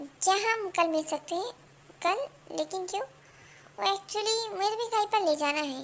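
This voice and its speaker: A woman does a put-on character voice at an extremely high pitch. Her intonation is lively and her pace moderate. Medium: read story. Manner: gentle, sure of himself.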